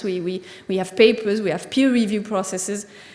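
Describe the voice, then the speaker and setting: At a fairly quick pace, a woman with a fairly high pitch talks with ordinary pitch variation amid audible room echo and noticeable background noise. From France. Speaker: agricultural scientist. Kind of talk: conference talk. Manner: halting.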